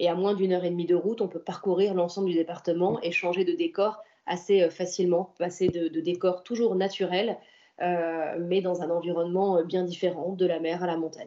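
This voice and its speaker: A woman with a fairly low pitch talks at a moderate pace in a flat, monotone way. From French Riviera, Antibes. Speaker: senator and local politician. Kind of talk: interview.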